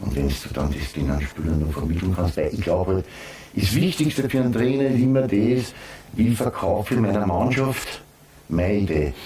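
Over noticeable background noise, a man with a fairly low pitch talks at a moderate pace, his pitch swinging very widely. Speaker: former footballer and football pundit. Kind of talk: casual chat.

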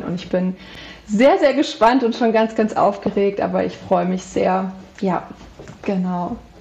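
Noticeable background noise runs under this recording. A woman talks fairly slowly at a medium pitch. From central Hesse, Germany. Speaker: animal communicator. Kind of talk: interview.

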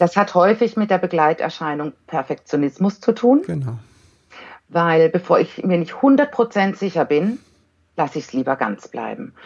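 Her voice is fairly low for a woman and swings widely in pitch. Loudness varies a lot, and her pace is fairly slow. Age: 40s. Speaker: giftedness educator and parent counselor. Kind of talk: podcast interview.

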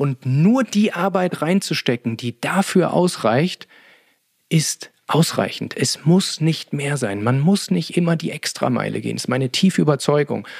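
A man with a fairly high voice talks at a fairly slow pace, his intonation lively and his tone somewhat breathy, in a dry, close sound with no echo. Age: 40s. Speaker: podcast host, energy and sleep coach. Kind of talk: solo podcast talk. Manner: frequent filler sounds (äh).

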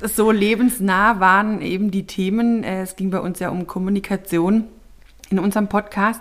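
In a flat monotone, a woman talks at a medium pitch. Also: moderate pace. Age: 30s. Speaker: social worker and mediator, podcast co-host. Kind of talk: casual chat. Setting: studio, sitting face to face.

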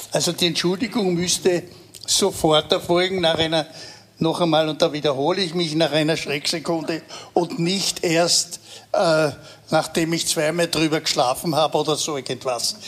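With noticeable background noise, a man speaks at a moderate pace in a fairly high pitch and fairly even intonation. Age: 80s+. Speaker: veteran political journalist. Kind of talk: live panel discussion.

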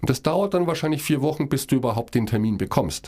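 A man's pitch swings very widely. His voice carries vocal fry. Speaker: podcast co-host. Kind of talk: casual chat.

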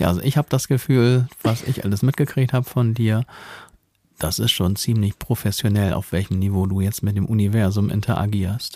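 Over a silent background in a very clean recording, a man speaks at a moderate pace in a fairly low, dark, mellow voice with ordinary pitch variation and very even loudness. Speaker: podcast co-host. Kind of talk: casual chat.

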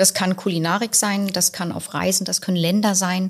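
Somewhat breathy speech at a moderate pace with monotone, flat intonation. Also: woman. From Berlin. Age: young. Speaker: restaurant owner. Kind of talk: podcast interview. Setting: in her restaurant.

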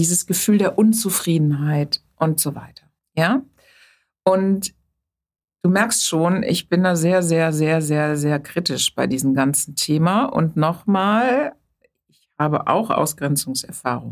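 Speaking at a very slow pace with long, frequent pauses, a woman uses a fairly low pitch and lively intonation. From Germany, Rhineland near Bonn. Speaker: psychotherapist and physician. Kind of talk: interview conversation.

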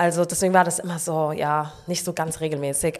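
Here a woman has a plain, everyday voice with a fairly low pitch. She speaks at a moderate pace with fairly even intonation. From Frankfurt, Germany. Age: 20s. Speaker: long jumper. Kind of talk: casual interview chat.

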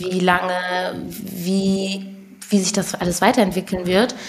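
Here a woman talks at a moderate pace. She has a normal speaking voice at medium pitch. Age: 20s. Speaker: musician. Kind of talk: casual chat.

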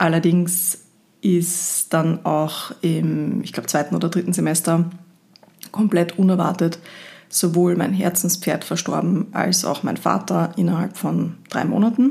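The voice moves at a fairly slow pace in an Austrian accent, with a dark, mellow tone, vocal fry and fairly even intonation. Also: woman, fairly low pitch for a woman. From Austria, Linz (Upper Austria). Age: 30s. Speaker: podcast host, equine therapist and marketer. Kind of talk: solo podcast monologue.

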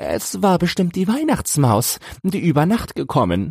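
A man's voice in a dry, close sound with no echo. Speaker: audiobook narrator. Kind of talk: poetry reading, audiobook-style verse read aloud. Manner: measured, rhythmic, storytelling cadence.

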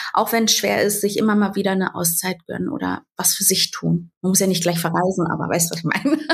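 Her voice is somewhat breathy. The woman's pitch varies in an ordinary way. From Berlin, Germany. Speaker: social media creator and mother. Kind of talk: interview.

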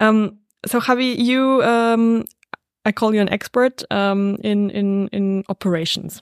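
In a German accent, a woman speaks at a fairly high pitch and a fairly slow pace, with fairly even intonation, very even loudness and a dry, close sound with no echo. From Salzburg, Austria. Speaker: podcast host and hotel owner. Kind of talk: interview.

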